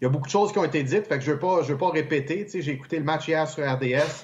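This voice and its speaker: A man's somewhat breathy voice carries ordinary pitch variation. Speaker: hockey analyst. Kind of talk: casual chat.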